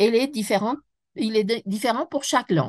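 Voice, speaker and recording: A woman with a Spanish accent speaks with lively intonation against a quiet background, the sound dry and close with no echo. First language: Spanish (speaking French). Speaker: French teacher trainer, speaker. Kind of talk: webinar lecture. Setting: online webinar. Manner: halting, with self-corrections.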